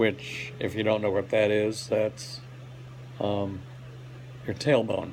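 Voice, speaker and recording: Over noticeable background noise, a man with a fairly low pitch speaks at a very slow pace with fairly even intonation and long, frequent pauses. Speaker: hospital patient giving health update. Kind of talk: personal video update. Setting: hospital rehab room. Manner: halting, many fillers.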